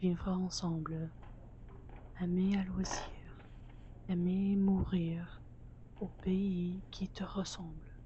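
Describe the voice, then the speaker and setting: A woman speaks at a very slow pace. Her medium-pitched voice stays in a flat monotone. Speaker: student filmmaker. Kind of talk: poetry reading. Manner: whispered.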